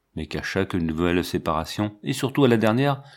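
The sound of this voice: With lively intonation, the voice is an unforced reading voice.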